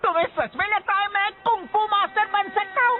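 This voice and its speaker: The pace here is moderate. It is a put-on character voice pitched extremely high. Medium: fan dub. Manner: whiny, self-pitying.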